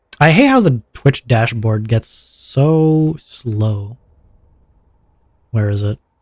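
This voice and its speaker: At a very slow pace, a man talks with long, frequent pauses in a dry, close sound with no echo. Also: medium pitch for a man, ordinary pitch variation. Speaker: VTuber streamer. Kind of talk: live stream gaming chat. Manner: loud.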